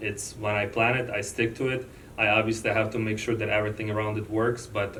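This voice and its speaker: Over audible room echo, a man with a non-native accent talks fairly quickly at a fairly low pitch in a monotone, flat intonation. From born outside the US. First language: not English. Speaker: loan officer. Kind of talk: interview.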